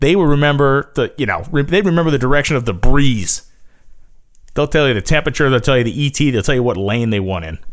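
Speaking at a very fast pace, a man keeps to a medium pitch. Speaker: podcast host. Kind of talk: opinionated solo podcast rant. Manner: emphatic, fired-up, indignant, defiant; brash, punchy, repeats phrases.

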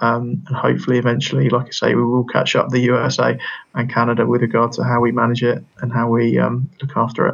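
At a very fast pace, a man speaks with very even loudness. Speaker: physiotherapy lecturer and researcher. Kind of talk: interview.

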